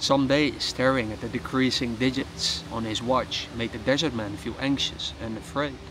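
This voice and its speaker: Noticeable background noise sits behind a man whose moderate pace comes with ordinary pitch variation. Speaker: storyteller. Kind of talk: story narration. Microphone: lapel.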